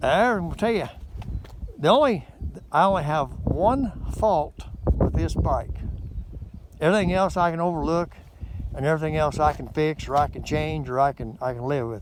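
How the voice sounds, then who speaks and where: Over noticeable background noise, a man with a fairly high pitch speaks with lively intonation and long, frequent pauses. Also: moderate pace. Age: 60s. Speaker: motorcycle vlogger. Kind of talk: casual vlog review. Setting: outdoors by a frozen lake. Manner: rambling, repetitive hesitant delivery.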